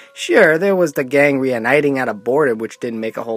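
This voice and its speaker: The sound is dry with no echo as a man talks at a fairly quick pace. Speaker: film reviewer. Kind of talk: review commentary. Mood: wry, sarcastic.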